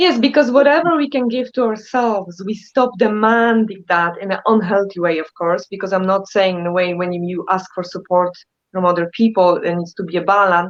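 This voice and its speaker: With a Polish accent, a woman speaks with hardly any pauses and ordinary pitch variation. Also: medium pitch for a woman, moderate pace. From Poland. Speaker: therapist. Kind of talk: casual chat. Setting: live stream.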